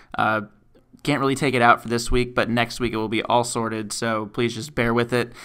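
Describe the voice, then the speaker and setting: The tone is bright and sharp, at a fairly quick pace. The recording is very clean with a silent background. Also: man. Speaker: podcast host. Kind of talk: casual chat.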